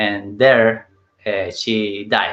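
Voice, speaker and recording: A man's medium-pitched voice at a very slow pace. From Chile. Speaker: interview guest. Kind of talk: interview. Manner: halting.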